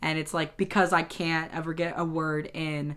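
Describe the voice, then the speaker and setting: Speaking at a moderate pace, a woman has a fairly low pitch and a bright, sharp tone. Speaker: YouTuber. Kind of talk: casual monologue. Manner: halting.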